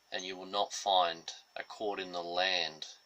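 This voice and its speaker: Over noticeable background noise, a man with an Australian accent speaks at a fairly slow pace. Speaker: political commentator. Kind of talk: political monologue.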